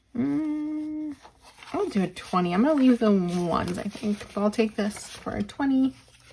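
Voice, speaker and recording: With noticeable background noise, a woman speaks at a moderate pace, her pitch swinging very widely. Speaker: budgeting vlogger. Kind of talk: casual tutorial while counting cash.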